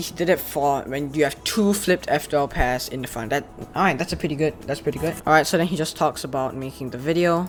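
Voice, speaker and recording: Noticeable background noise is present throughout. The talking is very fast. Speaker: speedcubing youtuber. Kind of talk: casual commentary reacting to giveaway entries.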